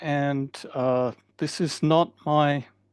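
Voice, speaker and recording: Recorded with a dry, close sound with no echo and a quiet background, a man speaks with an Australian accent. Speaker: professor. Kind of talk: lecture.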